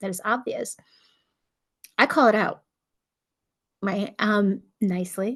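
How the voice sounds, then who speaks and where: A woman's fairly high voice, with fairly even intonation, comes over a quiet background. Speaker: nurse practitioner, channel host. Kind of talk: solo talk to camera, casual advice. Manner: fast; talkative, conversational.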